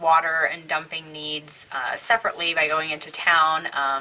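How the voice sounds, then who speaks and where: A woman speaks at a moderate pace with a fairly low pitch. Noticeable background noise runs behind her. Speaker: full-time RVer. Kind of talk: casual talk to camera.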